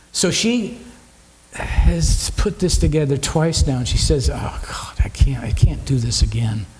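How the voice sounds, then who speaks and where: Noticeable background noise mixed with audible room echo. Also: man. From San Francisco Bay Area. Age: 60s. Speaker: musician. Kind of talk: casual chat. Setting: stage with audience.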